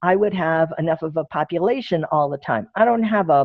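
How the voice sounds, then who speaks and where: A woman talks at a fairly quick pace in an ordinary speaking voice. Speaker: presenter on social media for groups. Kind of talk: Q&A; webinar presentation.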